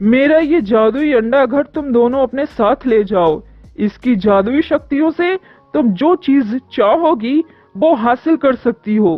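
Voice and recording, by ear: A cartoonish character voice speaks at a fairly high pitch and a fairly slow pace. Faint music plays in the background.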